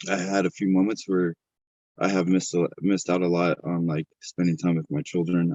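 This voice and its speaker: A man's very deep, low voice with a dark, mellow tone and ordinary pitch variation, at a moderate pace, in a dry, close sound with no echo. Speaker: fitness content creator and bodybuilder. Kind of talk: casual interview. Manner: quieter and deeper voice when recording at home.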